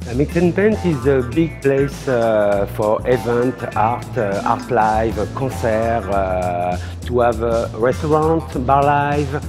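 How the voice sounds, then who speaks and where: Clear music sits in the background. A man speaks at a very slow pace. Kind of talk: interview answer. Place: bar. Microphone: lapel.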